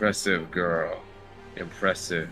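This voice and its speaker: With clear music in the background, a man does a put-on character voice at a very deep, low pitch. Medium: actual play. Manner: stern, terse.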